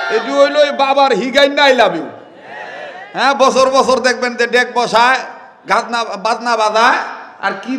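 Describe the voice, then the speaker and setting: An extremely high-pitched male voice against noticeable background noise. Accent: Bangladeshi. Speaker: Islamic preacher. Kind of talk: humorous religious sermon. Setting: outdoor gathering.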